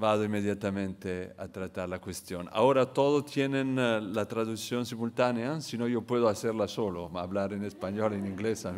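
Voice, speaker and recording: With an Italian accent, a man talks at a fairly slow pace, at medium pitch with ordinary pitch variation. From Italy. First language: Italian (speaking Spanish). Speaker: international economist, keynote speaker. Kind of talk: conference keynote lecture.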